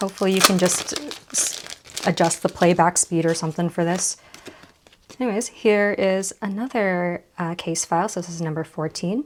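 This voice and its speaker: There is noticeable background noise behind this woman. She talks at a moderate pace and medium pitch, with ordinary pitch variation. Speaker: card game vlogger. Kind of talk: unboxing vlog.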